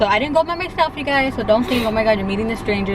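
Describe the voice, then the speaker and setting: With lively intonation, a woman talks over noticeable background noise, and room echo can be heard. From Downey, California. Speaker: family vlogger. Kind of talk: casual chat. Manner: animated.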